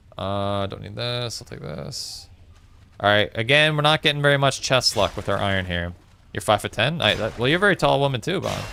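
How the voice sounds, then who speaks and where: A man's medium-pitched, bright, sharp voice in a Newfoundland accent, with very wide pitch swings and big swings in loudness. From Newfoundland, Canada (St. John's). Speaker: gaming streamer. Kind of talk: casual livestream chat while gaming. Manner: casual, conversational.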